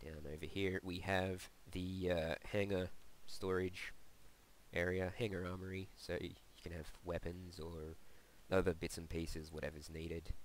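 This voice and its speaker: Very deep and low, the man's voice holds a monotone, flat intonation. He keeps a moderate pace. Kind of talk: casual game tour narration. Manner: casual, hesitant.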